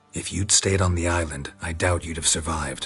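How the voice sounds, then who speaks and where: A man's put-on character voice, very deep and low, at a fairly quick pace. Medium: machinima. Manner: terse, clipped, flat.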